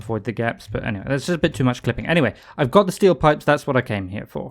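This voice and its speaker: Very clean recording, silent background. A man with a British accent talks very fast at medium pitch, with very wide pitch swings. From Britain. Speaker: video game streamer. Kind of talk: gameplay livestream commentary. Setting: home room at computer.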